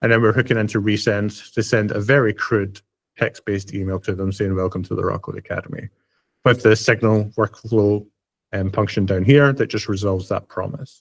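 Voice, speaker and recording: Fairly low-pitched and fairly quick, a man speaks with fairly even intonation. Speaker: software developer and educator. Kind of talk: tech demo presentation. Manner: fast; casual, many fillers.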